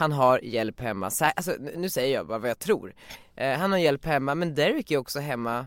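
A man with an ordinary speaking voice and a fairly high pitch talks at a moderate pace with lively intonation, the recording very clean with a silent background and a dry, close sound with no echo. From Sweden, Västerås. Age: 20s. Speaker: media entrepreneur, podcast host. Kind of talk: casual chat.

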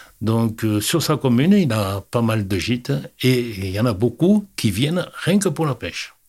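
A man speaks at a very slow pace with very wide pitch swings around a medium pitch. The recording is very clean, with a silent background. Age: 70s. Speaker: fishing club president. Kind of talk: interview. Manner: halting.

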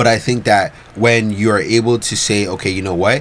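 Noticeable background noise sits behind a man speaking at a moderate pace in a fairly low pitch. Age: 30s. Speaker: podcast guest. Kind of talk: casual chat.

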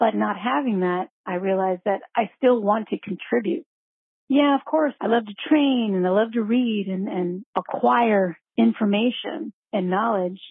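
A woman with a normal speaking voice, medium pitch, lively intonation, and a fairly slow pace. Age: 40s. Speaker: caller leaving a voicemail. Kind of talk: voicemail question.

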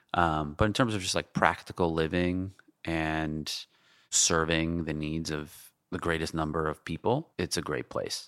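With a New York accent, a man speaks in a very deep, low pitch and fairly even intonation, the sound dry and close with no echo. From New York City (Queens). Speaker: tech entrepreneur and app creator. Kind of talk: casual interview conversation.

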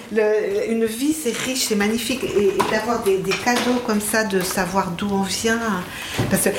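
A woman's fairly high voice at a fairly slow pace, with ordinary pitch variation, noticeable background noise and audible room echo. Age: 60s. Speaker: psychiatrist and psychoanalyst. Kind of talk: interview testimony. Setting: host's home. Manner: hesitant, with repetitions.

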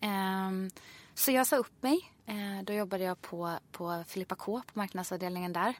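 At a moderate pace and medium pitch, a woman speaks in an unremarkable speaking voice with ordinary pitch variation and dry, close sound, no echo. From Sweden, Ulricehamn. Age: 30s. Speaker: fitness instructor. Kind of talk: casual interview chat.

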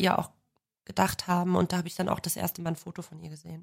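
Her intonation is flat, a woman speaking in a monotone. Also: very clean recording, silent background. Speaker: crime reporter. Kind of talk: casual chat.

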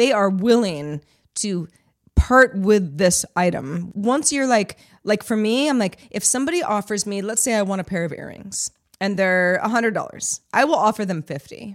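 An ordinary speaking voice from a woman, medium in pitch, with lively intonation and a moderate pace, in a very clean recording with a silent background. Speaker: podcast producer. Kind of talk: casual chat.

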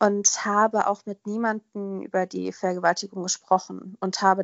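A woman speaks at a medium pitch. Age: 20s. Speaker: podcast guest sharing personal story. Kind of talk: personal testimony interview.

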